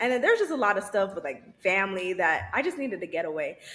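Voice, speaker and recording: A woman speaks quietly at a medium pitch, her tone bright and sharp. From Haitian-Caribbean background. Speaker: psychiatric nurse practitioner and podcaster. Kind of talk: casual interview. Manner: quiet, reserved.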